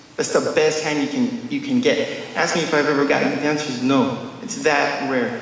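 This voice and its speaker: Amid light background noise and audible room echo, a man with a fairly high pitch speaks at a fairly quick pace, swinging his pitch very widely. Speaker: conference speaker. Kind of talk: conference talk with stand-up style jokes. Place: hall. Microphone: camera far.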